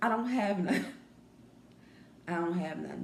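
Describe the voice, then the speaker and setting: A woman speaks softly. There is audible room echo and noticeable background noise. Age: young. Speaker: vlogger. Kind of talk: casual chat. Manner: soft-spoken.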